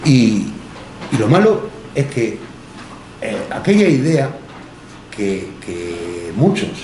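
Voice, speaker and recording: A man's medium-pitched voice amid audible room echo and noticeable background noise. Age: 60s. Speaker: history teacher. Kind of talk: public talk. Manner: halting; passionate.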